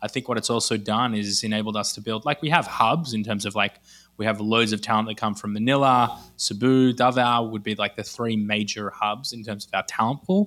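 A man with an Australian accent, fairly low pitch and a bright, sharp tone, at a fairly quick pace with fairly even intonation, on a very clean recording with a silent background. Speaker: e-commerce entrepreneur. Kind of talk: podcast interview.

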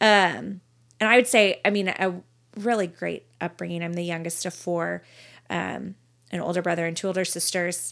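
A woman talks at a moderate pace in a fairly low pitch, with a plain, everyday voice. Her pitch varies in an ordinary way, on a very clean recording with a silent background. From Texas, Dallas–Fort Worth area. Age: 30s. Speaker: podcast guest. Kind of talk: casual chat and testimony.

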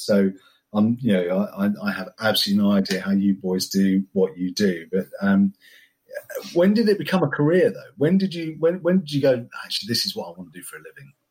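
At a fairly quick pace, a man speaks with very wide pitch swings on a very clean recording with a silent background. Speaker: podcast host. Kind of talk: casual interview chat.

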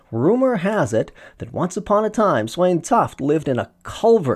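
The delivery has lively intonation at a moderate pace. It is an unremarkable speaking voice. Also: man. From Saskatchewan, Canada. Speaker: podcast host. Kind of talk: scripted narration; interview.

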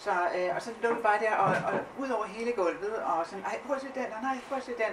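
Over noticeable background noise, a woman speaks at a moderate pace and a medium pitch. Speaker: art historian. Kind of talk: live talk on stage. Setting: stage with audience.

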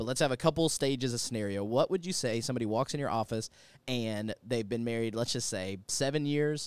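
In a plain, everyday voice, a man talks at a fairly quick pace with ordinary pitch variation, and the sound is dry and close with no echo. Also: medium pitch for a man, very clean recording, silent background. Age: 30s. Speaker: podcast host and pastor. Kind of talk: casual interview.

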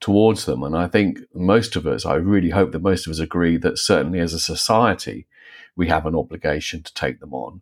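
A man with a very deep, low pitch and vocal fry speaks at a moderate pace. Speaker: philosopher and author. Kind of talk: panel discussion.

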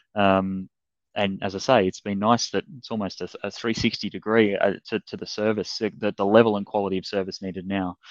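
A man with an Australian accent, fairly low in pitch, monotone and flat, at a moderate pace, in a dry, close sound with no echo and a quiet background. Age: 30s. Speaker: fitness business coach. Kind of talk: interview. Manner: hesitant, many fillers and repeats.

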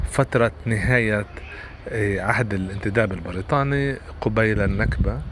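The intonation is lively, over noticeable background noise. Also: man, fairly low pitch for a man. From Palestine, Nazareth. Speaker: novelist and translator. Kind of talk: interview. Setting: remote interview. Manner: halting, many fillers.

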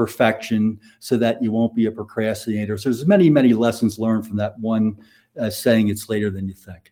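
Dark and mellow in tone, a man's voice moves at a moderate pace. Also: very clean recording, silent background. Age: 60s. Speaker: financial advisor. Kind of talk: casual interview, storytelling.

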